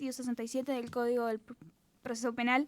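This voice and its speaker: The sound is dry and close, without any echo. The speaker is a woman. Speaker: law student radio presenter. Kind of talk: explanatory legal presentation. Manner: fast.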